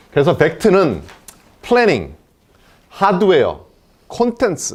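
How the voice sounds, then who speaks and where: A man's voice with vocal fry. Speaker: company CEO. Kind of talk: investor presentation. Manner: fast.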